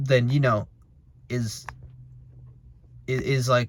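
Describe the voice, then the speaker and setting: This man's voice sits at a medium pitch and sounds somewhat breathy. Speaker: motivational vlogger. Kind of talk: casual monologue. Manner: fast; halting with many repetitions.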